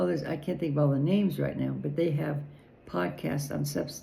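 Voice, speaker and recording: A woman with an American accent speaks at a very deep, low pitch in a dark, mellow tone with vocal fry. Her intonation is fairly even, and audible room echo surrounds her voice. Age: 70s. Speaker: political commentator. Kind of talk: personal vlog monologue. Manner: halting.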